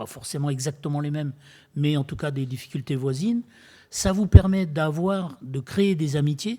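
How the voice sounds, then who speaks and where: Set against a silent background in a very clean recording, a man talks at a moderate pace in a fairly high, dark, mellow, somewhat breathy voice. His pitch varies in an ordinary way, while his loudness swings widely. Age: 70s. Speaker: retired builder and eco-entrepreneur speaking at a public dialogue. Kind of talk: public talk to an audience. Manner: hesitant, many fillers and repetitions.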